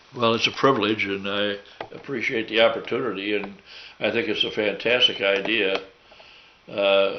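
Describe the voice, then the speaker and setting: Speaking at a moderate pace broken by long, frequent pauses, a man with a fairly low pitch keeps his intonation fairly even while noticeable background noise plays behind him. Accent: American. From US Midwest, St. Louis. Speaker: war veteran. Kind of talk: oral history interview. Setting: at home. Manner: halting.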